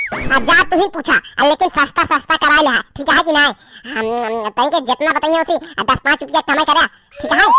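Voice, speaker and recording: Sound effects play in the background as a high-pitched, put-on character voice speaks at a fairly quick pace. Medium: comedy sketch. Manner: pushy, bargaining.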